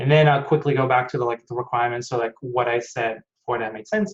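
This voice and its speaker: A man's somewhat breathy voice at a fairly quick pace, with fairly even intonation. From Germany, Hanover. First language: German. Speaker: aerospace engineer. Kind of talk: online technical talk.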